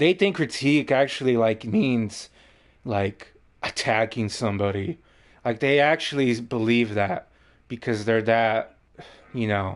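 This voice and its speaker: Long, frequent pauses in a man's fairly slow speech, medium in pitch with ordinary pitch variation. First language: not English. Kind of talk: casual chat.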